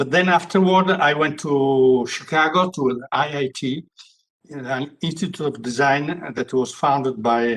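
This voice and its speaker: A man in an Italian accent speaks at a moderate pace with ordinary pitch variation. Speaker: veteran industrial designer. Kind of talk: casual interview answer. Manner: halting.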